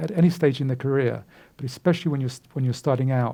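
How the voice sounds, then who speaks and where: This man has a British accent and a fairly high pitch, with ordinary pitch variation. His somewhat breathy voice carries a dark, mellow tone. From UK. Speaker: recruiter and career speaker. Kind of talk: lecture. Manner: halting, many fillers.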